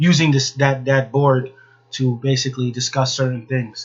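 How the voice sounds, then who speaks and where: Somewhat breathy, a man speaks at a moderate pace and a medium pitch. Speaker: podcast host. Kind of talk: casual monologue. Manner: monotone; halting.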